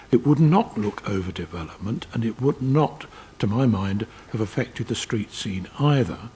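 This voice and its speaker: A man with a dark, mellow, somewhat breathy tone talks at a moderate pace, his pitch swinging very widely. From South East London. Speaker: committee chair, local councillor. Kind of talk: council committee meeting.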